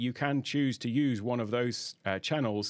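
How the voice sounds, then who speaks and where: Against a quiet background, the man's pitch varies in an ordinary way. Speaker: audio gear reviewer. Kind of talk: tutorial. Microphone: studio mic.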